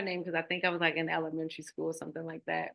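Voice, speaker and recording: Here a woman is speaking. She has a Baltimore accent. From Baltimore, Maryland, US. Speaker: nonprofit founder. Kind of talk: interview.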